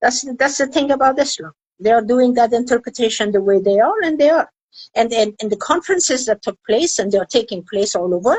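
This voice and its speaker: A woman's high-pitched, fairly quick speech with an Afghan accent, dry and close with no echo. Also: lively intonation. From Afghanistan. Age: 70s. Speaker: women's rights activist. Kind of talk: interview.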